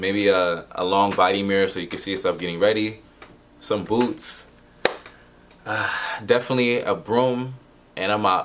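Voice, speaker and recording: This man has a normal speaking voice with a fairly low pitch and fairly even intonation. Light background noise can be heard. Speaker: student vlogger. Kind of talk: casual vlog chat. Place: home room.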